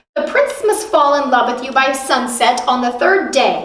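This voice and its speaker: A put-on character voice at a moderate pace, with slight echo. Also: woman, high pitch for a woman. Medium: read story. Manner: gloating, wicked.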